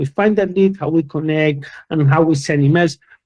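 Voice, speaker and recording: With a dark, mellow tone, a man speaks at a moderate pace and a fairly high pitch. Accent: Spanish. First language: Spanish. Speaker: company founder and conference speaker. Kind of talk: conference talk. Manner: animated.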